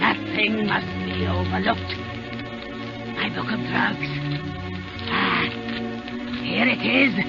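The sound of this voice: Over clear music in the background, a woman at medium pitch uses a put-on character voice with vocal fry and lively intonation, speaking at a slow pace with long, frequent pauses.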